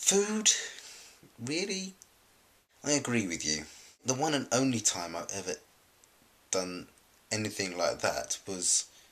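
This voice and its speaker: With vocal fry and very wide pitch swings, a man speaks with long, frequent pauses. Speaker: collab channel vlogger. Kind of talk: casual vlog chat. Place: home room. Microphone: webcam.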